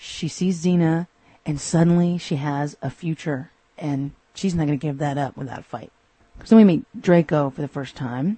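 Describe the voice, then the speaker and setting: With an American accent, a woman speaks in a very deep, low pitch, somewhat breathy, at a moderate pace with ordinary pitch variation. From Texas. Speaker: podcast host. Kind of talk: solo episode review.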